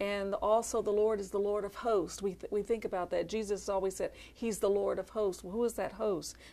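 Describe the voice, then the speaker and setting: With an American accent, a woman talks at a fairly quick pace in a dark, mellow tone, with fairly even intonation and hardly any pauses. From Philadelphia. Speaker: minister's wife. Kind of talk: ministry testimony. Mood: earnest, calm conviction. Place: studio. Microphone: lapel.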